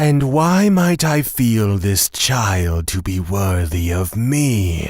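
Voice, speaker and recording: Using a put-on character voice, a man speaks very slowly at a fairly low pitch. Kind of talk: audio drama.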